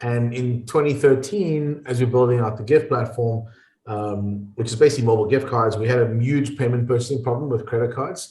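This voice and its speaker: Talking at a fairly quick pace, a man with a South African accent has a dark, mellow, somewhat breathy tone and ordinary pitch variation, with audible room echo. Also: medium pitch for a man. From South Africa, small coastal town. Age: 40s. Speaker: entrepreneur and investor. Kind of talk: podcast interview.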